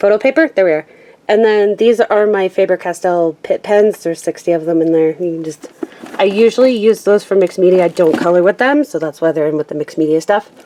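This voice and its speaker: A woman races through her words very quickly as noise is clearly heard around her. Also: medium pitch for a woman, ordinary pitch variation. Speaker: craft YouTuber. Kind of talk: casual room tour. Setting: handheld camera at home. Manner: halting.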